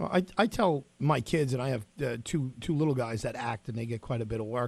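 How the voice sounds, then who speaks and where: His voice carries a slight breathiness. This man keeps a fairly quick tempo at a mid-range pitch. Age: 40s. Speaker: radio host. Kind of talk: radio interview.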